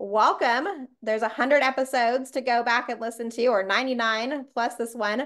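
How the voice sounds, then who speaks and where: A woman with a high-pitched voice speaks at a fairly slow pace with fairly even intonation. The background is quiet. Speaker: podcast host. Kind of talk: podcast intro chat. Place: home room. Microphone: video call.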